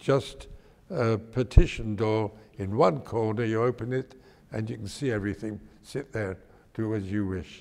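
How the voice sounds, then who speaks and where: A man with an East London accent speaks with long, frequent pauses. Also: fairly low pitch for a man, ordinary pitch variation, moderate pace. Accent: London English, older East End. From East End of London. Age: 90s. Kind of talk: oral history interview. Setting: synagogue.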